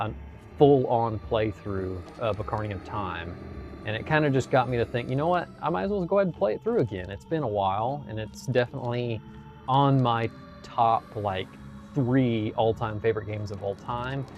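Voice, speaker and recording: A man with an American accent speaks in a relaxed tone with lively intonation. Music plays in the background. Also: medium pitch for a man, moderate pace. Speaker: gaming streamer and indie game developer. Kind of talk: casual live-stream chat while gaming. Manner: relaxed, frequent filler words.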